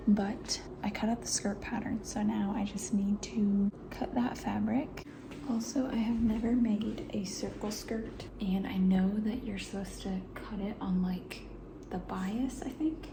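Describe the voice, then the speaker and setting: A woman at medium pitch talks fairly slowly amid audible room echo and noticeable background noise. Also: ordinary pitch variation. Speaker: DIY crafter and mom vlogger. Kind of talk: casual vlog narration. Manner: casual, thinking aloud.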